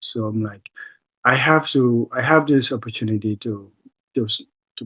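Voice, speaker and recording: A man with a West African accent speaks in a bright, sharp tone. His pace is moderate, and his loudness swings widely. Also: medium pitch for a man, ordinary pitch variation, dry, close sound with no echo. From The Gambia. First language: Mandinka. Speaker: human rights advocate, political asylee. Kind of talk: interview answer.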